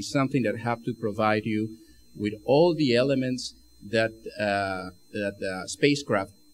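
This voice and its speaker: At a fairly slow pace, a man talks at medium pitch with ordinary pitch variation. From Argentina. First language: Spanish. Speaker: spacesuit engineer. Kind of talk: lecture. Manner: halting, many fillers and repeats.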